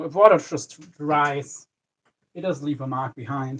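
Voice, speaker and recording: Fairly slow and somewhat breathy, this man talks with a fairly high pitch. His pitch variation is ordinary. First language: not English. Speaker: fishing livestreamer. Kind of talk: live stream tutorial.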